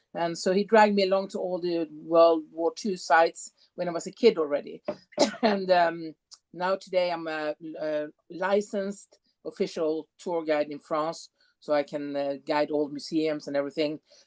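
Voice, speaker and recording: With a European accent, a woman speaks at a moderate pace in a fairly low pitch with ordinary pitch variation, the sound dry and close with no echo. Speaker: tour guide. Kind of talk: tour presentation. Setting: video call.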